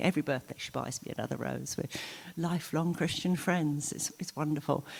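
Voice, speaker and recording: A woman talks at a fairly quick pace in a very deep, low voice. Her tone is dark and mellow, with vocal fry. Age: 60s. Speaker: church member. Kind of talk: testimony. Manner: conversational, hesitant with fillers.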